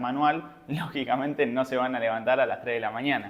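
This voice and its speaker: Speaking at a very fast pace, a man keeps a fairly even intonation. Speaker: trading educator. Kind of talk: seminar lecture. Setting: live seminar with audience.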